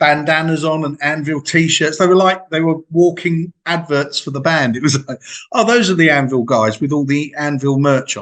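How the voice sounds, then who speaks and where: With an English accent, a man speaks at a moderate pace with hardly any pauses, a fairly high pitch, and ordinary pitch variation. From England. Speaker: music interviewer. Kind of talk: casual interview chat.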